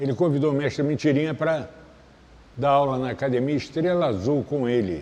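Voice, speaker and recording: A man's fairly high voice at a fairly quick pace, an ordinary speaking voice with ordinary pitch variation. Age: 60s. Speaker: capoeira master. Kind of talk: interview.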